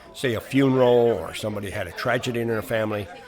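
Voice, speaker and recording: A man with an American accent talks at a very fast pace with medium pitch and ordinary pitch variation, over noticeable background noise. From US Midwest, Elkhart, Indiana. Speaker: local historian. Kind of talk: guided tour narration. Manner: hesitant with fillers.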